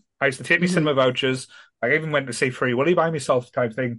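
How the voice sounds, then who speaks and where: A man's very fast speech at a fairly high pitch, with a northern English accent. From northern England. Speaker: podcast host. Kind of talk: casual chat.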